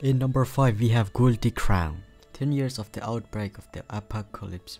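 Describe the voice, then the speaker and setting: A man speaks quietly at a moderate pace. His pitch varies in an ordinary way, with music in the background. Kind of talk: casual anime list commentary.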